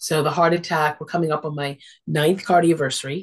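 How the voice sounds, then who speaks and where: In a quiet background, a woman speaks at a very deep, low pitch. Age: 60s. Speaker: social worker and interfaith minister. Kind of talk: casual interview. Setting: video call. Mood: warm, reflective. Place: home room. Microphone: video call.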